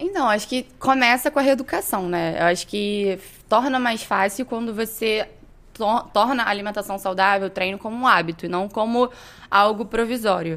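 A woman's fairly high voice, an ordinary speaking voice, at a moderate pace with ordinary pitch variation. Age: 20s. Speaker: medical student and fitness influencer. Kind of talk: casual chat.

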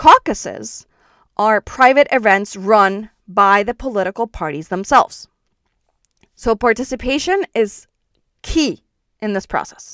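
A woman's fairly high, lively voice at a fairly slow pace with long, frequent pauses, dry and close with no echo, in a very clean recording with a silent background. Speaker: podcast host and founder. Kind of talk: scripted explainer, informative monologue. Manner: informal, explanatory, conversational.

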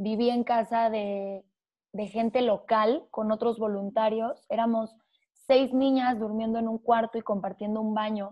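At a fairly slow pace, a woman speaks in a flat monotone with a fairly high pitch. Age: 20s. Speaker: entrepreneur and wellness coach. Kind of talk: casual interview chat.

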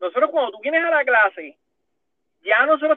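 A man is speaking. His pace is fairly quick. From Puerto Rico. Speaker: firearms instructor and business owner. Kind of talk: casual interview.

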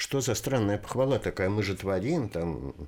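The recording is very clean, with a silent background. An unremarkable speaking voice carries lively intonation. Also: man. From Russia, Volga region. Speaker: poet and retired teacher. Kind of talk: interview.

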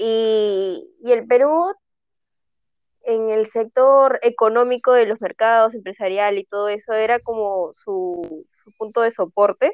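A woman at a very slow pace, with ordinary pitch variation and big swings in loudness. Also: fairly high pitch for a woman. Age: 20s. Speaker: graphic design student. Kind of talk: casual interview. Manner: halting, many repetitions.

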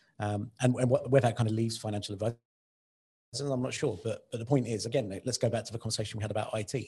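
In a British accent, a dark, mellow, somewhat breathy voice rushes along at a very fast pace with fairly even intonation. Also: man, medium pitch for a man. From UK, Indian heritage. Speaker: podcast co-host. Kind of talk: casual chat.

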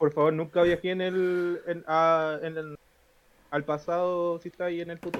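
A man talks at a moderate pace in a high voice with monotone, flat intonation. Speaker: podcast co-host. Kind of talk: casual chat. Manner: halting.

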